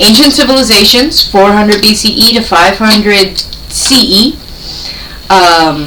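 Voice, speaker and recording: A woman with an American accent speaks at a fairly high pitch and a fairly slow pace, with ordinary pitch variation. Audible room echo and noticeable background noise fill the recording. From United States. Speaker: podcast co-host. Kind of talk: casual chat, reading out research notes.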